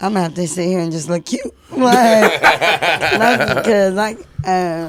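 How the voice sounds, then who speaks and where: Noticeable background noise sits behind a woman of medium pitch. She speaks at a fairly slow pace with ordinary pitch variation. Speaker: podcast co-host. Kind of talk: casual chat. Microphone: far from the mic.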